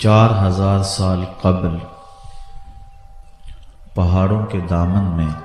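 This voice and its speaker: A man speaks at a very deep, low pitch in a flat monotone. Music plays behind him. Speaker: Islamic scholar giving a religious lecture (bayan). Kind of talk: emotional religious sermon, storytelling of Islamic history. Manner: emotional, dramatic narration.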